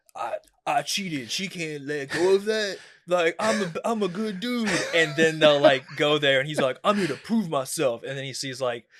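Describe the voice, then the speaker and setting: An unremarkable speaking voice from a man with an American accent, fairly high in pitch, lively in intonation, at a moderate pace. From Coachella Valley, California. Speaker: stand-up comedian. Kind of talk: casual chat.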